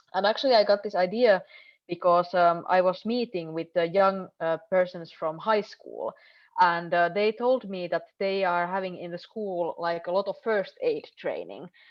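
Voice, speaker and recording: A woman with a Finnish accent talks at a moderate pace and medium pitch, keeping her intonation fairly even. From northern Finland. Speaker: member of European Parliament. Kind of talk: panel discussion. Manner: halting.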